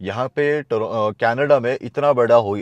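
Pitch moves with ordinary variation. The delivery is fairly slow. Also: man, dry sound with no echo. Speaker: travel vlogger. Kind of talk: casual vlog chat. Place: car. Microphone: lapel.

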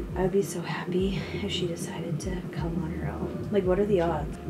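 A woman talks at a moderate pace while loud background noise fills the recording. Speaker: expectant mother vlogger. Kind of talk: casual vlog chat.

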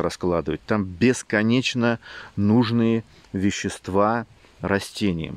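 A man at a very slow pace and fairly low pitch, with a dry sound and no echo. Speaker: gardening channel host and seed seller; seed seller. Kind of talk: casual video talk to camera. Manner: halting, repeats words; emotional, animated. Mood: passionate, somewhat emotional. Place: garden. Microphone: phone near.

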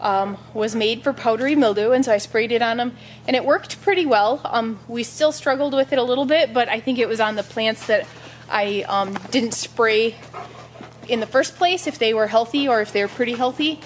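Light background noise sits behind this clip. A woman talks at a moderate pace with ordinary pitch variation. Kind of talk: casual vlog chat. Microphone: phone near.

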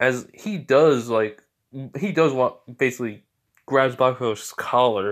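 In a quiet background, a voice reads aloud naturally, its pitch varying in an ordinary way.

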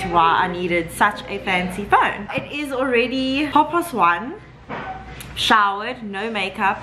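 At a fairly slow pace, a woman talks over noticeable background noise. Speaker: vlogger. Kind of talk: casual vlog chat. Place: home room. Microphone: phone near.

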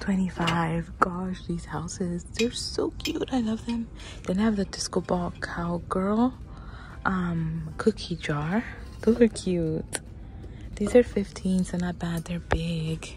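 Faint music plays behind a woman who speaks at a very slow pace, the sound dry with no echo. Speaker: shopping vlogger. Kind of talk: casual vlog chat. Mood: excited, chatty. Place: shop. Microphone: phone near.

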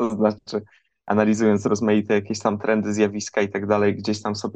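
A man speaks at a fairly quick pace in a fairly low pitch against a quiet background. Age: 30s. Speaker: podcast co-host and book author. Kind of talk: radio interview. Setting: remote link.

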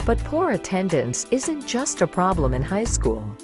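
A woman talks at a medium speed over background music. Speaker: voice actor. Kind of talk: explainer video narration.

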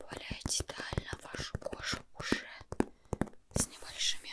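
A soft-spoken woman talks at a very slow pace over loud background noise. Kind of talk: ASMR roleplay, soft-spoken. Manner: soft close-mic ASMR doctor voice. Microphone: studio mic.

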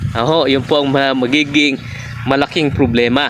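Fairly slow speech from a man, noticeable background noise behind it. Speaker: naturopath. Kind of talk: health talk to camera. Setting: outdoors under a gourd trellis. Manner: halting.

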